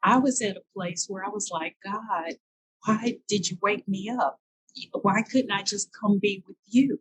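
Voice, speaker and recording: A somewhat breathy woman talks at a fairly slow pace and medium pitch, with ordinary pitch variation and big swings in loudness, in a dry, close sound with no echo. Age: 60s. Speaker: marathon walker. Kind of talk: interview answer.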